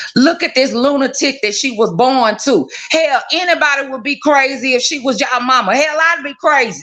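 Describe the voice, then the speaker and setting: With an American accent, a woman speaks in an animated tone at a moderate pace, her high voice showing ordinary pitch variation. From Texas, Dallas. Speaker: live stream viewer joining on air. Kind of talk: casual chat.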